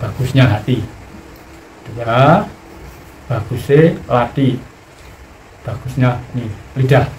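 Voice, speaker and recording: A man at a very slow pace with long, frequent pauses, medium pitch and ordinary pitch variation, amid noticeable background noise and audible room echo. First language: Javanese (speaking Indonesian). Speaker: spiritual teacher. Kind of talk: spiritual teaching talk.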